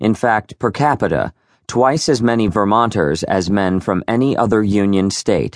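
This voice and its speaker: The background stays quiet. Pitch varies in an ordinary way, at a moderate pace, in an ordinary speaking voice. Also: man. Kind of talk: audiobook narration of a history biography. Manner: formal, measured, steady literary delivery; even, polished, scholarly tone.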